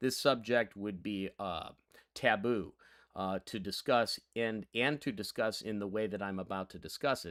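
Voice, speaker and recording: In an American accent, a man talks at a moderate pace in an ordinary speaking voice with ordinary pitch variation. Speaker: history teacher. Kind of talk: lecture.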